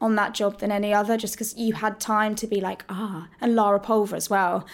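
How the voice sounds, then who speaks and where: In a southern English accent, a woman talks with a fairly high pitch and monotone, flat intonation on a very clean recording with a silent background. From Hertfordshire, England. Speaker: musical theatre actress. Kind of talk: casual interview. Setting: backstage dressing room.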